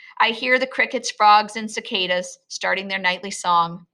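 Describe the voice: Ordinary pitch variation runs through what is plain reading aloud.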